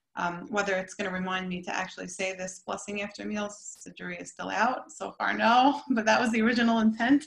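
With an American accent, a woman talks at a fairly quick pace with hardly any pauses and big swings in loudness against a quiet background. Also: ordinary pitch variation. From US, Brooklyn area; New York. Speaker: artist. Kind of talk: presentation. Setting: video call. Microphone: video call.

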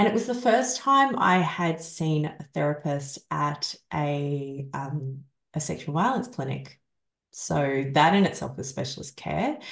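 A woman with a very deep, low pitch speaks fairly slowly and somewhat breathily, her intonation lively, with audible room echo and a quiet background. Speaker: survivor coach and author. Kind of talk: interview. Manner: soft-spoken. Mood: reflective, candid. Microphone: video call.

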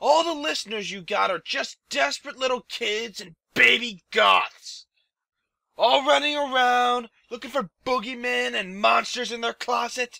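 Raised and projected, a man's voice sits at an extremely high pitch with lively intonation at a fairly slow pace. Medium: audio drama. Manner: aggressive, sneering, profane.

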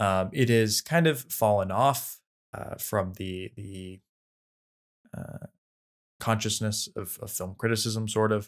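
A man's fairly low voice at a very slow pace, with big swings in loudness and long, frequent pauses, against a quiet background. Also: ordinary pitch variation. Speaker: podcast co-host. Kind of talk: casual film discussion. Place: home room.

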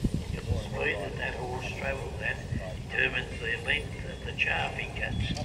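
Loud background noise sits behind the speaker. A man talks at a moderate pace. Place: open country.

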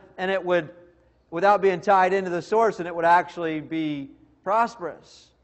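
The background stays quiet. A man talks using ordinary pitch variation. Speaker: preacher. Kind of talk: sermon. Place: church. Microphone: podium.

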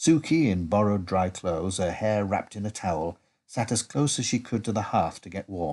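Over a quiet background comes a natural reading voice with lively intonation.

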